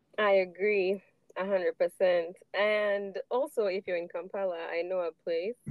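A woman's medium-pitched voice with fairly even intonation at a very slow pace. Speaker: podcast host. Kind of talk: casual chat.

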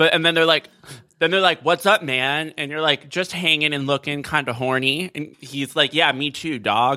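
A man with an American accent talks at a moderate pace in a plain, everyday voice, fairly high in pitch and with fairly even intonation. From South Florida. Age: 20s. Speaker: podcast guest. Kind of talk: casual chat.

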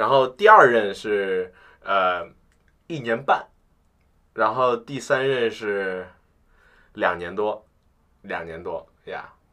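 At a very slow pace with long, frequent pauses, a man speaks at a fairly low pitch in a bright, sharp tone, with ordinary pitch variation and big swings in loudness over a quiet background. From Beijing. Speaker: university student. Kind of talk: casual chat. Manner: animated, laughing often.

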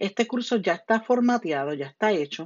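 In a Puerto Rican accent, a woman speaks at a fairly slow pace. Her tone is animated, with lively intonation. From Puerto Rico. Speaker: podcast host and citizenship teacher. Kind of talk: educational podcast monologue. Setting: home bedroom. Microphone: phone earbuds headset, lower quality.

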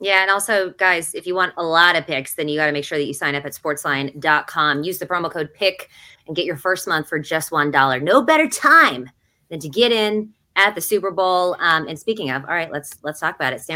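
A woman's fairly low-pitched voice, bright and sharp in tone, at a fairly quick pace with ordinary pitch variation. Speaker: sports betting podcast host. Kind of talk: casual chat. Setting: hotel room, remote recording.

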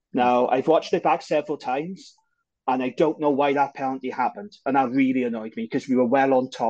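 This man talks at a very fast pace with a Welsh accent. His pitch is medium, and the background is quiet. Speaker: podcast co-host. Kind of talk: casual banter.

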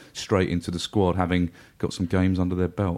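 Over a silent background in a very clean recording, a man with a very deep, low pitch speaks at a fairly quick pace. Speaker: football fan pundit. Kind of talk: casual chat.

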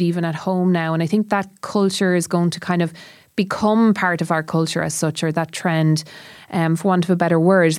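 On a very clean recording with a silent background, an unremarkable speaking voice talks at a moderate pace. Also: woman. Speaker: podcast host. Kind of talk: casual chat.

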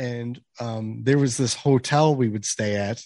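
An unremarkable speaking voice from a man with an American accent, medium pitch, fairly even intonation and a fairly slow pace. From Chicago area, US Midwest. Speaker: hockey podcaster and beer league goalie. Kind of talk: casual chat.

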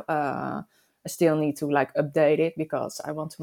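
A woman with a Dutch accent speaks in a very deep, low pitch. The recording is very clean with a silent background. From Netherlands. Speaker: motorcyclist. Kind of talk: casual interview chat. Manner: hesitant, many fillers.

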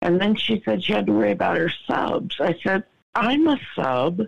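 At a fairly slow pace, a woman speaks with fairly low pitch, very wide pitch swings, and vocal fry. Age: 50s. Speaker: guest caller sharing personal struggles. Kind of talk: casual chat.

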